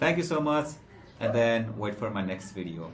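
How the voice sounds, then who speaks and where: A man speaks with a Nepali accent and ordinary pitch variation. Room echo is audible, and music plays in the background. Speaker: SEO trainer. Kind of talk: tutorial. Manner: halting, many fillers.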